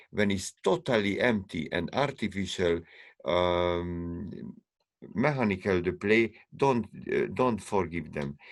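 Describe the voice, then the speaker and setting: On a very clean recording with a silent background, a man with a non-native accent talks at a very slow pace, using a fairly low pitch and lively intonation. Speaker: string quartet musician and teacher. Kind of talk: panel discussion. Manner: halting; animated.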